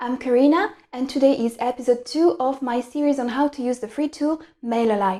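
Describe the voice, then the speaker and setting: A woman with a French accent speaks in a high pitch with a dark, mellow tone. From France. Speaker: online tutorial creator. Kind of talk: tutorial.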